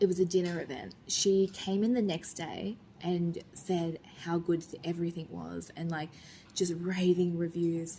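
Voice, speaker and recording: Soft-spoken and somewhat breathy, a woman speaks fairly slowly in a dark, mellow, fairly low voice with monotone, flat intonation. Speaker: vlogger and restaurant owner. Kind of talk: casual vlog talk to camera.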